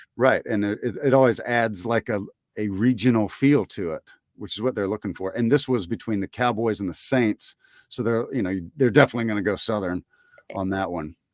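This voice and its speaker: A man with an American accent speaks at a fairly quick pace in an ordinary speaking voice, medium in pitch with ordinary pitch variation. The sound is dry and close with no echo, in a very clean recording with a silent background. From Mississippi, USA (Columbus, Lowndes County). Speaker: voice actor and podcast host. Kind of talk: interview answer.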